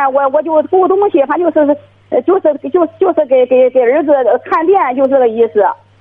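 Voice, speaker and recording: High-pitched, a woman's voice comes through over noticeable background noise. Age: 40s. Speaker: caller, divorced grandmother minding a shop. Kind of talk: phone-in call. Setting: phone call. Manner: halting, many fillers.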